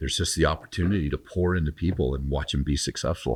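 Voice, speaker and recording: A very deep, low-pitched man with an American accent and vocal fry, talking at a very fast pace in fairly even intonation, on a very clean, dry, close recording with a silent background and no echo. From military family, raised abroad and across US. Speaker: gym company CEO. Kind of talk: interview. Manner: casual.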